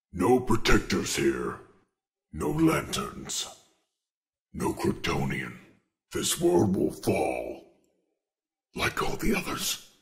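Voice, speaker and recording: A man uses a put-on character voice at a very slow pace, with long, frequent pauses. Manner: menacing.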